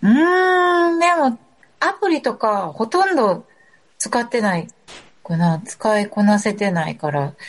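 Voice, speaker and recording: A woman speaks very slowly at a fairly high pitch, somewhat breathy. Her pitch swings very widely. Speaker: guest. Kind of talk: casual chat. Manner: quiet, speaks little.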